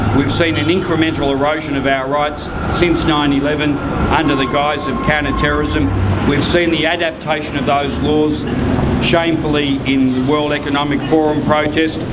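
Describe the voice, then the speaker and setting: Over loud background noise, a man speaks with an Australian accent at a moderate pace. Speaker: lawyer and rally speaker. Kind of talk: rally speech. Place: street.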